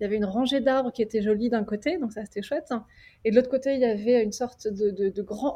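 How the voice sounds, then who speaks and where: A woman's unremarkable speaking voice, fairly high in pitch with fairly even intonation. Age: 30s. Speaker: wedding photographer. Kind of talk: casual roundtable chat. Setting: remote video call.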